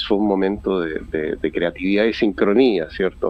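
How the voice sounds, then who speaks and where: Fairly low male voice at a moderate pace, over noticeable background noise. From Chile. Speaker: poet. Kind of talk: radio interview answer. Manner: hesitant, many fillers.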